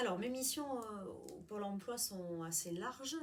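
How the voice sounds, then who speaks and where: A woman talks at a very slow pace, with audible echo in the room. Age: 40s. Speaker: job counselor. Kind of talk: interview.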